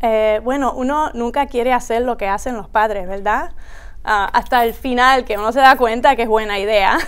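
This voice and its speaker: Ordinary pitch variation runs through a woman's speech at a moderate pace. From US, Rockville, Maryland; Puerto Rican family; Maryland. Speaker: high school principal. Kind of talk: interview conversation. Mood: warm, smiling, relaxed. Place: studio. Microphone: lapel.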